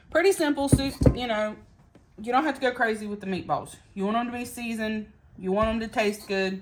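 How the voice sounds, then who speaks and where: With an American accent, a woman speaks at a fairly high pitch and a fairly quick pace over noticeable background noise. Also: ordinary pitch variation. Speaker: home cooking vlogger. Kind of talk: cooking tutorial. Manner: casual, chatty.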